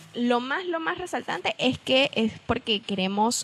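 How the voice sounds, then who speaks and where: A woman at a fairly slow pace with very wide pitch swings, amid noticeable background noise. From Venezuela, San Cristóbal (Andean). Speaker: podcast co-host. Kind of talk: casual chat.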